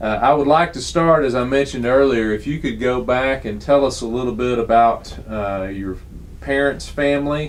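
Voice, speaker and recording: At a moderate pace, a man talks with a Texan accent. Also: medium pitch for a man, ordinary pitch variation. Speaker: oral historian interviewer. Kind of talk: interview questions.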